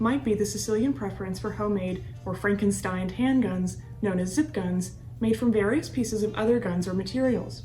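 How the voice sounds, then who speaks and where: Against music in the background and audible room echo, a woman talks at a fairly quick pace. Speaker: true crime podcast host. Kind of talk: scripted narration. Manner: fast.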